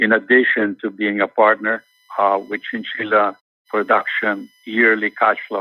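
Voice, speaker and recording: Speaking at a fairly slow pace, a man talks with a non-native accent. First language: not English. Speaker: mining company executive. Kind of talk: interview. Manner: halting, many repetitions.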